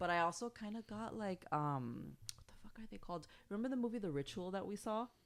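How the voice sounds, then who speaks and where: Speaking very fast with an Spanish accent, a woman uses a medium pitch, lively intonation and big swings in loudness. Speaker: podcast host. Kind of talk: casual chat.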